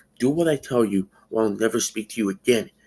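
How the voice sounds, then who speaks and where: A man puts on a character voice at medium pitch, talking very fast. Hissing runs through the clip. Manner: hissed, urgent.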